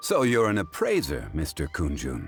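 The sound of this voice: A man's put-on character voice, extremely low with a slightly husky edge and very wide pitch swings, at a moderate pace over faint music in the background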